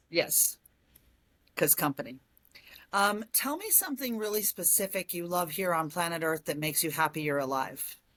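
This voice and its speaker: In a normal speaking voice, a woman talks at a moderate pace with fairly low pitch and lively intonation. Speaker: interview host. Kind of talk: interview questions.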